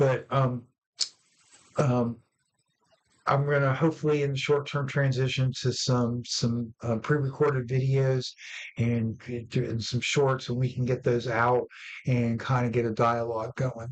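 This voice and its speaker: A man's medium-pitched, flat monotone at a fairly slow pace, with long, frequent pauses. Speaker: livestream host discussing education policy. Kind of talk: solo live stream talk. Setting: live stream. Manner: halting, many fillers and repeats.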